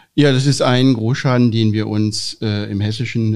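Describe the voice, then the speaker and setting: In a dark, mellow tone, a man speaks at a fairly low pitch. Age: 40s. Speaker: insurance executive. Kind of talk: interview. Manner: frequent filler sounds.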